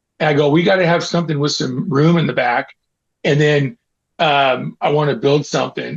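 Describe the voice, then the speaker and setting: With a Californian accent, a man talks at a fairly high pitch and with fairly even intonation. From Northern California, Auburn near Sacramento. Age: 60s. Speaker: skateboarder and baseball fan. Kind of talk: casual chat. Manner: casual, halting with repetitions.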